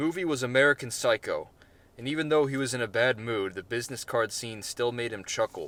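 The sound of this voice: Pitch variation stays ordinary in this unforced reading voice.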